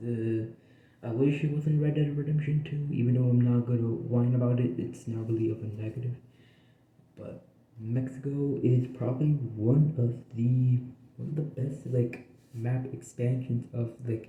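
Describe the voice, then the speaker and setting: Somewhat breathy male speech at medium pitch, monotone and flat, moving at a moderate pace. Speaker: game reviewer. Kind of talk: casual game review. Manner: halting, filler-heavy.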